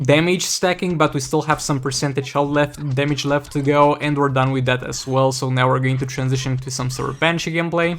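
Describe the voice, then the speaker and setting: There is noticeable background noise as a man with a Romanian accent speaks in a fairly high pitch with fairly even intonation. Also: fairly quick pace. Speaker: gaming YouTuber. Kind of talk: gameplay commentary.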